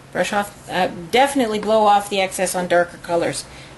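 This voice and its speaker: A woman speaks at a medium pitch with a Canadian accent. Noticeable background noise sits behind her. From Canada (Winnipeg). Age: 40s. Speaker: beauty consultant. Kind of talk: makeup tutorial. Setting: home, at desk. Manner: casual, chatty.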